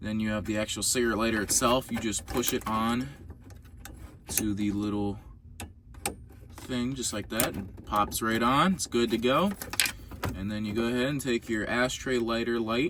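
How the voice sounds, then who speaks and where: With long, frequent pauses, a man speaks at a moderate pace. His pitch varies in an ordinary way over noticeable background noise. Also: medium pitch for a man. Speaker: car DIY youtuber. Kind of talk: tutorial. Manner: casual, hesitant with fillers.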